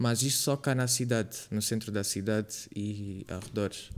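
A man with a fairly low pitch speaks at a fairly slow pace while music plays in the background. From Angola, Lubango. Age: 20s. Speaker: podcast host, university student. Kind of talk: casual chat. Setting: video podcast.

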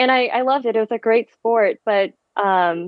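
Fairly high-pitched woman's voice with a Californian accent and ordinary pitch variation. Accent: Californian American. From San Francisco Bay Area, US. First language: Vietnamese. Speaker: physical therapist and amateur marathon runner. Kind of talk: casual interview chat.

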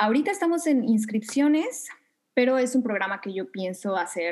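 A somewhat breathy woman at a fairly slow pace, her intonation lively. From Mexico City. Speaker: yoga instructor and manifestation coach. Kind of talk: interview conversation.

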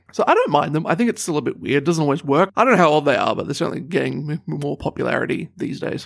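A man's fairly high voice with vocal fry and ordinary pitch variation. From New Zealand. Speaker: podcast co-host. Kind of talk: casual chat.

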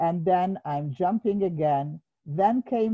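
The background is hushed. Someone reads aloud plainly.

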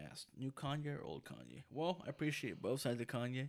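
A man with an American accent talks at a fairly quick pace in a normal speaking voice. His pitch is medium, with ordinary pitch variation. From Los Angeles, California (Mexican family). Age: 20s. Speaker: podcast co-host. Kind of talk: casual chat.

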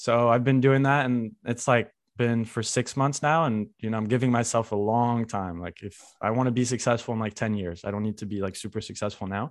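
Against a quiet background, a man with an unremarkable speaking voice talks fairly quickly at a medium pitch and fairly even intonation. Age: 20s. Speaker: podcast host. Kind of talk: casual chat.

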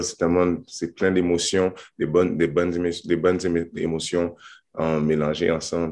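A man with a very deep, low pitch talks at a fairly quick pace. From Montreal, Quebec. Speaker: professional basketball player. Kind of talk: interview.

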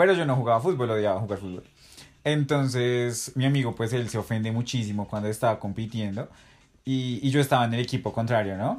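This is an unremarkable speaking voice from a man at a medium pitch with ordinary pitch variation and a fairly quick pace. The recording is very clean, with a silent background. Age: 20s. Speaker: best friend of host. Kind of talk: casual chat.

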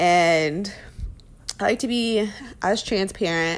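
A woman speaks with vocal fry and very wide pitch swings. The recording is very clean, with a silent background. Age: 30s. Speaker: parenting podcaster. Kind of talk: casual monologue.

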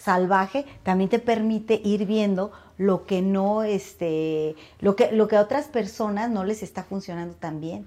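The voice has a dark, mellow tone, moves at a fairly slow pace, and shows ordinary pitch variation. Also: woman. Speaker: podcast co-host. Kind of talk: casual chat.

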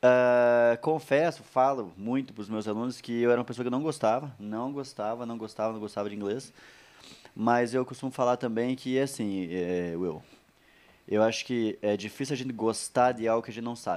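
A man talks at a moderate pace with ordinary pitch variation and medium pitch. It is an ordinary speaking voice. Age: 30s. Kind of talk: casual chat.

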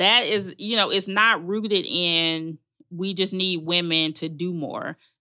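Speaking at a fairly slow pace, a woman talks with a Southern US accent. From Arkansas, Magnolia. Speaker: relationship coach and nonprofit founder. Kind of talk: casual interview chat.

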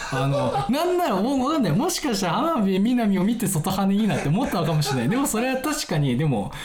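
A man speaks very fast with a high pitch and very wide pitch swings, barely pausing. His loudness stays very even, with audible room echo and noticeable background noise. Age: 20s. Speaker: podcast host. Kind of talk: casual solo chat. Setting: recording late at night. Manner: casual, filler-heavy.

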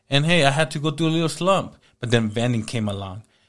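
Using a normal speaking voice, a man talks at a fairly quick pace with lively intonation in a very clean recording with a silent background. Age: 30s. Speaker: entrepreneur. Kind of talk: casual chat.

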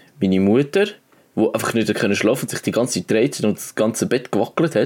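A man with a Swiss accent, medium pitch and lively intonation. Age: young. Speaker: podcast co-host, apprentice. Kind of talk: casual chat. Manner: animated.

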